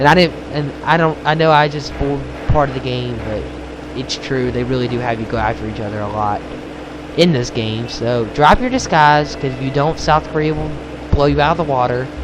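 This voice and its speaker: A man's medium-pitched voice with ordinary pitch variation, audible room echo, and noticeable background noise. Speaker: gaming video creator. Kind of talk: let's play commentary. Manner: hesitant, many fillers.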